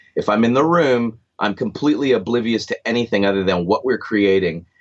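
A man talks at a fairly quick pace with lively intonation. He has a plain, everyday voice. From Canada (Stratford, Ontario). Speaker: record producer and guitarist. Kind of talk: casual interview.

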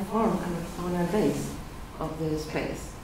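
Noticeable background noise and audible room echo accompany a woman speaking with fairly even intonation. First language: not English. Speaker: mathematician presenter. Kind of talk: lecture. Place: meeting room.

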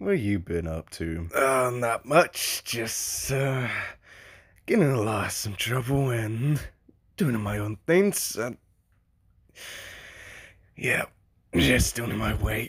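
A man uses a put-on character voice with a fairly bright tone, a slightly husky edge and lively intonation. He speaks at a slow pace with long, frequent pauses. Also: medium pitch for a man.

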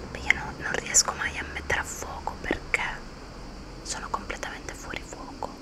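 Speaking fairly slowly, a woman keeps her voice to a whisper. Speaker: ASMR creator. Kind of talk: ASMR whispered haul chat. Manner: whispered. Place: home room. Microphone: studio mic.

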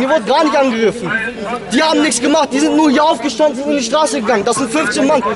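A man shouting at a very fast pace, his pitch extremely high, ordinary pitch variation, loud background noise behind him. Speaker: local resident. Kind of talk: street confrontation and interview. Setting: outdoors. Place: street. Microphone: camera far.

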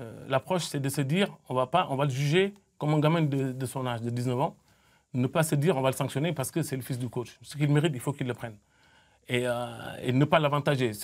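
At a very fast pace, a man with fairly high pitch speaks with ordinary pitch variation. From Senegal (Mbour, near Dakar); Senegal. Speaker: football coach. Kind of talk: studio interview. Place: studio. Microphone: lapel.

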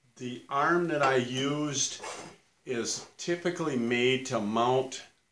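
Audible room echo surrounds a man whose bright, sharp tone moves at a very slow pace with ordinary pitch variation. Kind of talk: casual vlog chat. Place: workshop.

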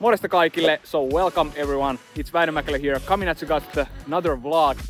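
A man at a fairly quick pace, dry sound with no echo, faint music in the background. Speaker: vlogger. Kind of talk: casual vlog chat. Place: open country. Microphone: phone near.

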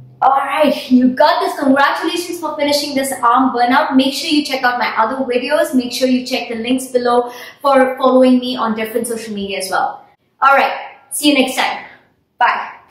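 A woman, high in pitch, at a fairly quick pace with ordinary pitch variation and audible room echo. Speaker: fitness instructor. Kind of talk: workout instruction. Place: home room.

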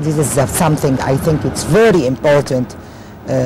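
Her pitch is very deep and low for a woman. Noticeable background noise sits under a dry sound with no echo. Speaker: interview guest. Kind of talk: interview answer. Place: boat. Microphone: lapel.

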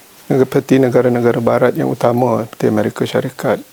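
A man speaks with a Malaysian accent. Background noise is noticeable. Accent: Malaysian Malay. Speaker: government official. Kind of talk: formal interview answers. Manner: many filler hesitations.

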